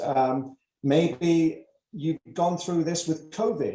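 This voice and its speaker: At a very slow pace, a man talks with a high pitch. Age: 70s. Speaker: retired prosecutor. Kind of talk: presentation. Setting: online webinar. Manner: hesitant, many fillers.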